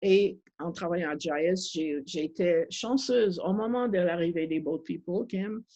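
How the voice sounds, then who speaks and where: In a dark, mellow tone with a slight non-native accent, the speaker goes fairly slowly with ordinary pitch variation and hardly any pauses. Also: woman, fairly low pitch for a woman. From Montreal, Quebec. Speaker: refugee advocate. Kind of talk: panel discussion. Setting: video call. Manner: halting.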